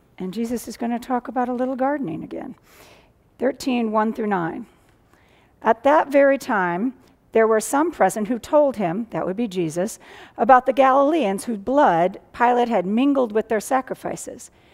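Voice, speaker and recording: The background stays quiet as a woman talks at a moderate speed. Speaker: pastor. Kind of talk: scripture reading in sermon. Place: church.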